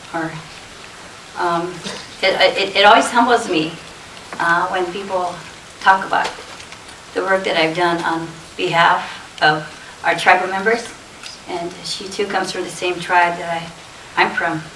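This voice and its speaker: A woman with a Lakota accent speaks at a fairly slow pace, with a fairly low pitch and fairly even intonation. She takes long, frequent pauses over noticeable background noise. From Rosebud Reservation, South Dakota. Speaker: executive director of a women's advocacy society. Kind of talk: conference speech.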